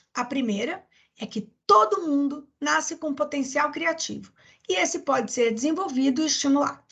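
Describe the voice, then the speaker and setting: A bright, sharp tone at a moderate pace. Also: woman. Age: 50s. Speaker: master's researcher. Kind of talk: research presentation. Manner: hesitant with fillers.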